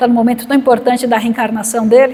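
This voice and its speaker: A high-pitched woman's voice over noticeable background noise. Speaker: spiritist lecturer, psychologist. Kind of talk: spiritual lecture.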